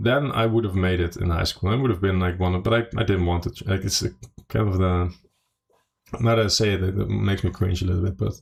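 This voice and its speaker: A man's very deep, low voice, somewhat breathy, at a very fast pace with very even loudness and ordinary pitch variation. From Netherlands. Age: 30s. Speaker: poker player. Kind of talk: casual chat. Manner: hesitant, many fillers.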